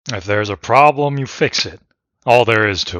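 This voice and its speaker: Putting on a character voice, a man speaks at a medium pitch and moderate pace with big swings in loudness, in a very clean recording with a silent background. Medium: read story. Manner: blunt, plain-spoken.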